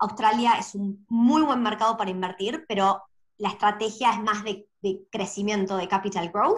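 A woman speaks in an Argentine accent with a fairly high, somewhat breathy voice. Her intonation stays fairly even against a quiet background. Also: moderate pace. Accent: Argentine Spanish (voseo). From Argentina. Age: 30s. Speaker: property investor; guest. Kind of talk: interview. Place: home room. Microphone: video call.

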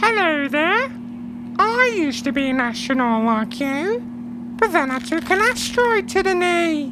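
Over loud background noise, a man does a cartoonish character voice, raised and projected, extremely high-pitched for a man, at a moderate pace.

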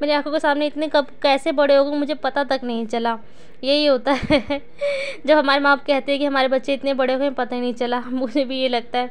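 Delivered at a moderate pace, the voice stays monotone with flat intonation. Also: woman, high pitch for a woman. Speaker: family vlogger, housewife; family vlogger. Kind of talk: daily vlog narration. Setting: at home.

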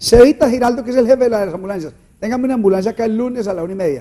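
A man's dark, mellow tone with lively intonation. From Antioquia, Colombia. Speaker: panel commentator. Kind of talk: political talk show discussion. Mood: joking, playful. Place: studio. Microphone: lapel.

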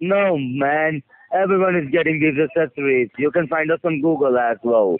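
A man speaks at a moderate pace with very even loudness and ordinary pitch variation. The sound is dry, with no echo. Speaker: caller. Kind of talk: defensive phone argument. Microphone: phone line.

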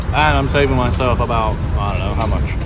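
Through loud background noise, a man talks at a very fast pace in a dry sound with no echo. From England, London. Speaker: travel vlogger. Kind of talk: casual vlog narration. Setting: outdoors and on public transport.

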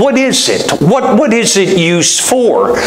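Over light background noise and audible room echo, a man talks with very wide pitch swings. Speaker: preacher. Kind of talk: sermon. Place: church.

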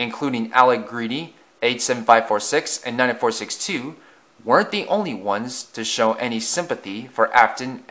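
The voice reads in an unforced way.

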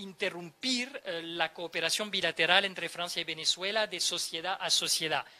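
Using a raised, projected voice, a man speaks at a moderate pace with ordinary pitch variation. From France. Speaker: ambassador. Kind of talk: interview. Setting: live on-location event. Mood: calm, measured. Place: hall. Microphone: handheld.

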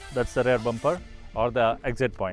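Over faint background music, a man talks at a fairly quick pace, the sound dry with no echo. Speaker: car owner reviewer. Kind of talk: car review walkaround. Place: open country.

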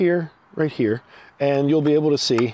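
A man's dark, mellow tone at a moderate pace, with ordinary pitch variation and a dry sound with no echo. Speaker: vlogger demonstrating EV charging. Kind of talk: tutorial. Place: street. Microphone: phone near.

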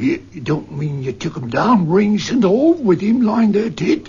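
Pitched high, a man speaks at a fairly slow pace with very wide pitch swings.

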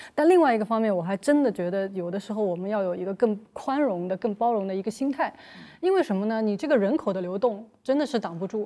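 A woman talks very fast in a fairly high voice with a dark, mellow tone. Her intonation is lively and the background is quiet. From Shanghai. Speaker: guest commentator. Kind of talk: roundtable discussion. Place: studio. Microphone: lapel.

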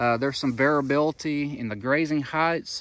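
A man's fairly even intonation, dry sound with no echo. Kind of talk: field tour commentary. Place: open country. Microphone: phone near.

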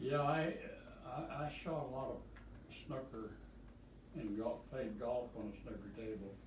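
The speech moves at a moderate pace with ordinary pitch variation and long, frequent pauses, over light background noise and audible room echo. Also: man. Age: 80s+. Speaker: retired great-grandfather. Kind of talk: casual chat. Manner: rambling storyteller, repeats words. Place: home room.

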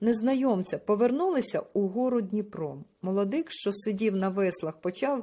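Delivered in an unforced reading voice, the speech shows ordinary pitch variation.

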